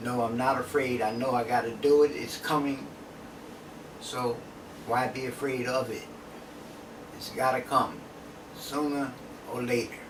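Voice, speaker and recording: In a room with audible echo and noticeable background noise, a man of medium pitch talks at a fairly slow pace with monotone, flat intonation and long, frequent pauses. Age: 70s. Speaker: drug user interviewee. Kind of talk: interview.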